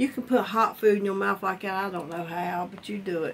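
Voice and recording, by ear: With fairly even intonation, a woman speaks at a fairly quick pace and a medium pitch.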